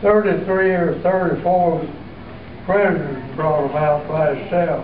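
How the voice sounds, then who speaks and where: In an American accent, a man with a high pitch speaks at a fairly slow pace with fairly even intonation, amid noticeable background noise and audible room echo. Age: 90s. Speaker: war veteran. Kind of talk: testimony. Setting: school assembly. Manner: halting.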